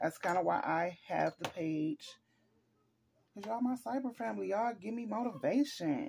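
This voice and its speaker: A woman's animated voice, medium in pitch with vocal fry, makes very wide pitch swings at a moderate pace over light background noise. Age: 40s. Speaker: lifestyle vlogger. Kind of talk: casual chat. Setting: at home, recording herself. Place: home room. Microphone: phone near.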